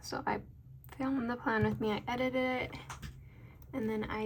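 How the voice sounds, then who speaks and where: The speaker is a soft-spoken woman. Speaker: planner video creator and sticker shop owner. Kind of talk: casual chat.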